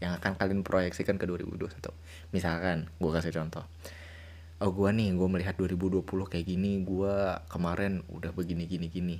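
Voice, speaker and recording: A man talks at a moderate pace. His voice is very deep and low. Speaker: podcast host. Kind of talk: casual chat. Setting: video call. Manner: animated.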